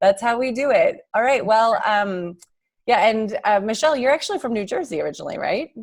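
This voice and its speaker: A woman talks at a fairly high pitch. Her pace is fairly quick and her intonation lively. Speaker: summit host. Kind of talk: live Q&A moderation. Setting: video call. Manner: fast.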